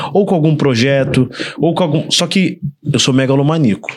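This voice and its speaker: The man uses a plain, everyday voice, moving at a moderate pace with ordinary pitch variation. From Volta Redonda, interior of Rio de Janeiro state, Brazil. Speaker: filmmaker and production company owner. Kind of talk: casual chat.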